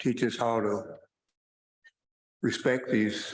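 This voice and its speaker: With audible room echo, a man speaks at a medium pitch in a monotone, flat intonation. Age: 80s+. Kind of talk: panel talk. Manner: halting, many repetitions.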